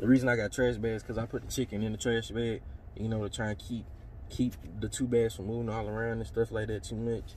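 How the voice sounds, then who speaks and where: With light background noise, a man talks very fast in a monotone, flat intonation. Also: dry sound with no echo. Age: 20s. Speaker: YouTuber vlogger. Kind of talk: casual vlog talk to camera. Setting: in a car. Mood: relaxed, joking.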